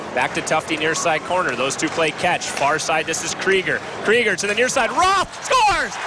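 The speech moves at a moderate pace. Loud background noise fills the dry sound, which has no echo. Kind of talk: live commentary. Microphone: headset.

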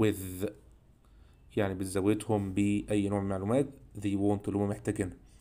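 The speaker has an Egyptian accent and a dark, mellow tone, and talks at a fairly quick pace. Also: man. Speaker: English teacher. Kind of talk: lecture.

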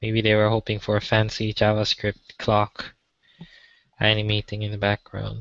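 Over a quiet background, a man talks at a moderate pace in a fairly low pitch with monotone, flat intonation, and the sound is dry with no echo. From Malaysia. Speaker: software developer. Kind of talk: pair programming session. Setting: video call. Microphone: video call.

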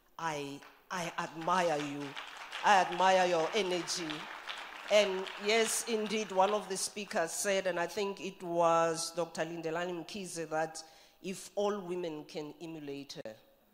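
Over crowd noise in the background, a woman talks fairly slowly at a fairly low pitch with fairly even intonation. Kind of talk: formal speech. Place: hall. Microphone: podium.

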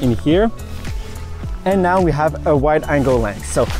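A man at a moderate pace, with clear music in the background and a dry sound with no echo. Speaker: tech video creator. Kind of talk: tutorial. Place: beach.

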